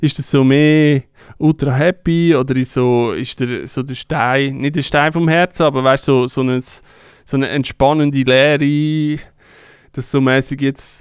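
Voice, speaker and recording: A man's fairly high pitch, flat monotone delivery and fairly slow pace, in a dry, close sound with no echo on a very clean recording with a silent background. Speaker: DJ and podcast co-host. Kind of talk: casual chat. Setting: studio.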